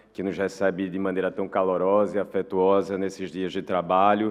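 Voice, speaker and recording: With a Portuguese accent, a man talks at a very deep, low pitch for a man. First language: Portuguese (speaking Spanish). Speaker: international organization official. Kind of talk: formal speech.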